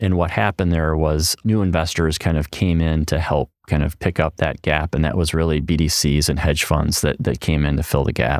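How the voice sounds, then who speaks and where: A man's very deep, low voice at a fairly quick pace, with hardly any pauses, fairly even intonation, very even loudness and a dry, close sound with no echo. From US Midwest, Madison, Wisconsin. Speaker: pension fund portfolio manager. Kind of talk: interview.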